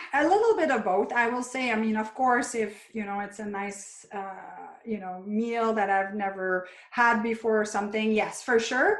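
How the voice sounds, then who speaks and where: A woman with a French Canadian accent speaks at a moderate pace and fairly high pitch. Her intonation is fairly even, and the room echo is audible. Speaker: chiropractor and functional medicine practitioner. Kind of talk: interview.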